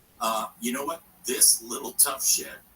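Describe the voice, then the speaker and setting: The recording has noticeable background noise. Through it, a man's voice comes across. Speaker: radio host. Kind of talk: radio call-in advice. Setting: backyard shed studio.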